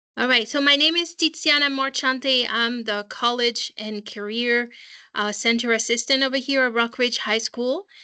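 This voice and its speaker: A woman with a high, bright, sharp voice talks at a moderate pace. Her intonation stays fairly even against a quiet background. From France. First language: French. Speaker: school college counseling assistant. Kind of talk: online parent information session. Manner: hesitant, many fillers.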